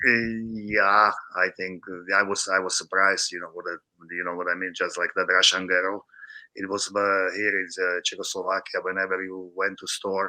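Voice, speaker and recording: Over a quiet background, a man with fairly low pitch speaks at a moderate pace in a bright, sharp tone, his intonation monotone and flat while his loudness swings widely. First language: Slovak or Czech. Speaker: former hockey player and scout. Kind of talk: podcast interview. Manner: halting.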